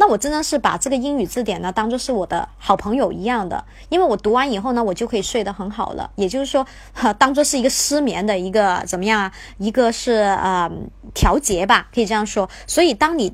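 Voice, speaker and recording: Her pace fairly quick, a woman with an ordinary speaking voice talks at a fairly high pitch with lively intonation. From Guangzhou, China. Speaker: English teacher. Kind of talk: livestream lesson. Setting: livestream.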